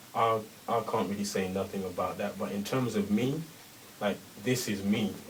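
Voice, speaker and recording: A man's fairly low voice at a moderate pace with ordinary pitch variation, over noticeable background noise. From England, London. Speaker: rapper. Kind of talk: radio interview.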